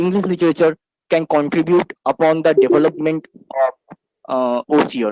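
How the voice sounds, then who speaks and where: A man with a Bengali accent, a fairly high pitch and ordinary pitch variation at a moderate pace, in a dry, close sound with no echo. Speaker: student, audience questioner. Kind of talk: question at webinar.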